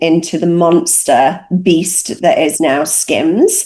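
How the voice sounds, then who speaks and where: Someone speaks very slowly in a British accent. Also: woman. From northern England, Cheshire. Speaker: recruitment executive. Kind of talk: panel discussion.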